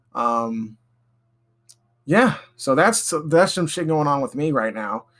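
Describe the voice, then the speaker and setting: On a very clean recording with a silent background, a man with a fairly high pitch swings very widely in pitch. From Alabama. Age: 20s. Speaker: podcast host. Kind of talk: casual monologue. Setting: home recording in bedroom. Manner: halting, many ums and pauses; rambling, off the cuff.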